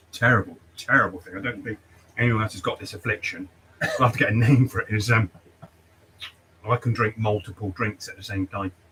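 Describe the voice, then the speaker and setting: With an English accent, a man speaks at a fairly quick pace in a medium pitch, with fairly even intonation, big swings in loudness and long, frequent pauses over noticeable background noise. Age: 60s. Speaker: barber and livestream host. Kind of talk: casual chat.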